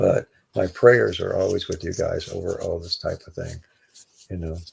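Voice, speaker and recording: The voice is quiet. It moves at a moderate pace. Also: man. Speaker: livestream host. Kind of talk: casual chat. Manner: trying to speak quietly; halting.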